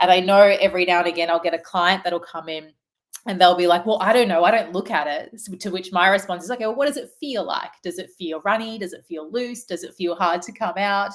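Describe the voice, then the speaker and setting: Speaking at a very fast pace, a woman with an Australian accent shows big swings in loudness. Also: medium pitch for a woman, ordinary pitch variation. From Australia, Melbourne. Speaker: naturopath. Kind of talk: webinar presentation. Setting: online webinar. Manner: animated.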